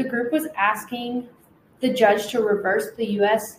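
An ordinary speaking voice from a woman with an American accent, fairly high-pitched and at a fairly slow pace. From US Pacific Northwest (Washington state). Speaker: podcast co-host. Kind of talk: casual chat.

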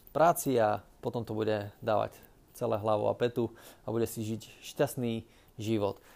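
Here a man with an unremarkable speaking voice uses a medium pitch and fairly even intonation. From Slovakia, Orava region (Námestovo). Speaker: podcaster, business consultant. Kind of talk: solo podcast monologue. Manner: casual, with filler sounds.

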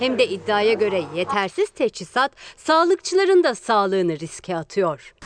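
At a moderate pace, a woman's voice moves through very wide pitch swings with a dry, close sound and no echo. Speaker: journalist asking questions. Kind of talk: press Q&A.

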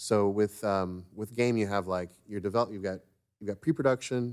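In a very clean recording with a silent background, a man with an American accent talks at a moderate pace with fairly even intonation. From Florida, US. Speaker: game developer and creative director. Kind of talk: casual interview conversation.

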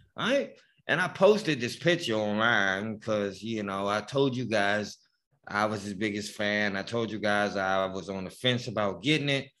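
Heard on a very clean recording with a silent background, a man with a bright, sharp tone and fairly low pitch talks at a moderate pace. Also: ordinary pitch variation. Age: 40s. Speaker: sports podcast co-host. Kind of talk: casual chat.

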